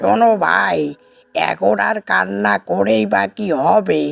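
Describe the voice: A man performs a cartoonish character voice. Loud music plays in the background.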